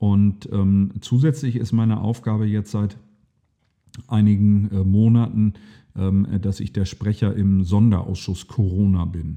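Fairly low in pitch, a man's dark, mellow voice carries fairly even intonation. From East Frisia, northern Germany (Aurich). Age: 40s. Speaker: state parliament member. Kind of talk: interview.

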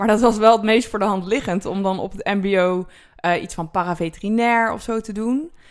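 Over a silent background in a very clean recording, a woman speaks at a moderate pace and medium pitch, with ordinary pitch variation and big swings in loudness. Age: 20s. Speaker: dairy farmer and agricultural teacher. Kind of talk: interview. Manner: hesitant, with filler words; explanatory.

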